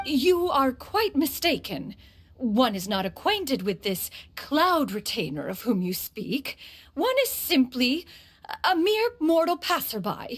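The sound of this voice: Slowly, a woman does a put-on character voice, high-pitched, with big pitch swings.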